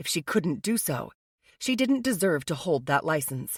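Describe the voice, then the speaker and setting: Growling in a put-on character voice, the speaker keeps a middle pitch and a moderate pace. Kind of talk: audiobook thriller narration. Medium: read story.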